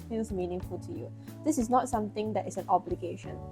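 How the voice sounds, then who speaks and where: Music runs in the background. A woman speaks at a very fast pace. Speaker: tarot reader. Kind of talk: tarot reading to camera. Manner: casual, encouraging.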